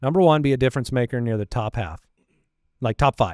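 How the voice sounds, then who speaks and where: Medium-pitched male voice with ordinary pitch variation, dry sound with no echo. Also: quiet background. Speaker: fantasy football podcast host. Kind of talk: casual chat. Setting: studio. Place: studio. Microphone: studio mic.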